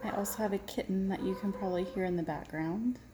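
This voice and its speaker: A woman talks with an American accent and ordinary pitch variation. There is noticeable background noise. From Texas, Irving. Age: 40s. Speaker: diamond painting vlogger. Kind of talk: casual chat.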